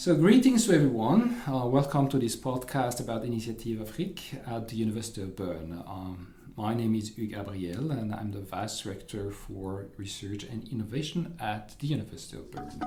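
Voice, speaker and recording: With a French accent, a man of medium pitch rattles along at a fairly quick pace with hardly any pauses, lively intonation, big swings in loudness and audible room echo. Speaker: university administrator and podcast moderator. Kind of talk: interview. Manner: halting.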